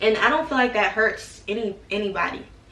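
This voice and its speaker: Background noise is noticeable in this clip. A woman speaks at a fairly slow pace with ordinary pitch variation. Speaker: YouTuber giving college advice. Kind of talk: casual vlog talk to camera. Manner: casual, hesitant with repetitions.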